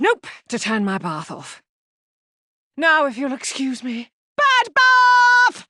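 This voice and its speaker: A cartoonish character voice, high in pitch, moves at a fairly slow pace with long, frequent pauses. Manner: earnest, mock-serious spy talk.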